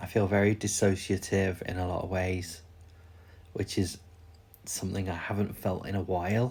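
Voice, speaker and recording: A somewhat breathy man with a British accent speaks at a very deep, low pitch, his intonation monotone and flat, with long, frequent pauses. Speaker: vlogger. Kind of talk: personal vlog. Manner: slow, unhurried; halting.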